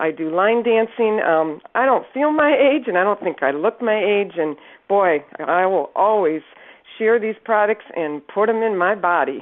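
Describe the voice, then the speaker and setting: Lively intonation from a woman, a plain, everyday voice, medium-pitched and fairly slow in pace. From Northern Michigan. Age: 60s. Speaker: product distributor giving testimonial. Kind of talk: testimony.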